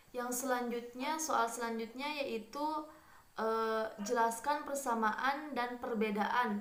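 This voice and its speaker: A woman speaks very slowly in a West Javanese accent, at a fairly high pitch. Her intonation is fairly even, and the room echo is audible. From Kuningan, West Java, Indonesia. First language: Sundanese (speaking Indonesian). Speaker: university student. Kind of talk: recorded exam answer presentation. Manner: hesitant, many filler sounds.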